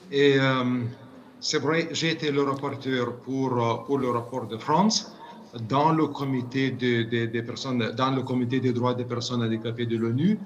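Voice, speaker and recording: A man talks at a fairly slow pace and a medium pitch with ordinary pitch variation. There is audible room echo and noticeable background noise. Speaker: UN committee expert. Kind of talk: interview. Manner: halting, many repetitions.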